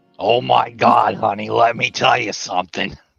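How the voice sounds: In a put-on character voice, a man speaks raspily at a fairly low pitch and moderate pace, with lively intonation.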